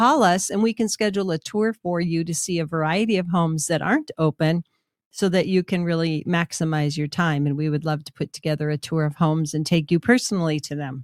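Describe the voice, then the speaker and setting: With an unremarkable speaking voice, a woman talks at a fairly quick pace with a fairly low pitch, ordinary pitch variation and an American accent, in a very clean recording with a silent background and a dry, close sound with no echo. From Minnesota. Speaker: real estate agent and radio host. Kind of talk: casual radio talk show.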